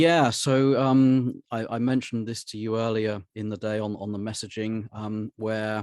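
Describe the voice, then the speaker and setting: A man speaks with a British accent and fairly even intonation. The background is quiet. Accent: British, noticeably non-American. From southern England, Hampshire. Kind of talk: podcast interview. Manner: hesitant, many fillers and repeats.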